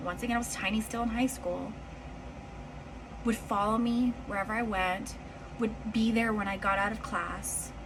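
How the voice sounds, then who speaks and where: A woman talks at a fairly high pitch. Room echo is audible, and there is noticeable background noise. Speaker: storytime vlogger. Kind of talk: personal storytelling. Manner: animated.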